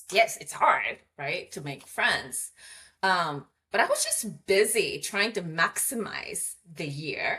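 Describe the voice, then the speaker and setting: Very slow speech in a Japanese accent, with big swings in loudness. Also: woman. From Japan (Hamamatsu). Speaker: communications coach. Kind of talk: interview conversation.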